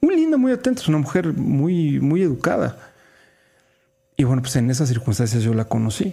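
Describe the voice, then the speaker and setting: This man's voice is somewhat breathy, with a dark, mellow tone and a fairly high pitch. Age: 50s. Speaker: radio host and motivational speaker. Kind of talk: casual chat.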